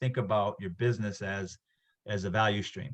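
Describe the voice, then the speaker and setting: A somewhat breathy man at a fairly quick pace, fairly even in intonation, against a quiet background. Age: 60s. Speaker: instructor. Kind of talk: lecture. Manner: halting.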